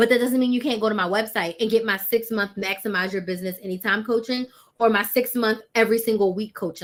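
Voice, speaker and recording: Ordinary pitch variation marks a delivery that races along at a very fast pace. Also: woman. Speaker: business coach. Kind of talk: live stream business advice. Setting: live stream.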